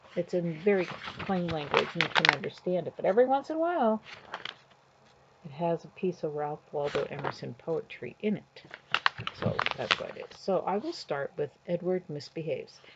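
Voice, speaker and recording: A woman speaks at a moderate pace with big swings in loudness. Noticeable background noise runs underneath. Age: 60s. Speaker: grandmother reading books aloud to grandchildren. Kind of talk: reading aloud to children with casual commentary. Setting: at home sitting on her bed. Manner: casual, chatty, with fillers.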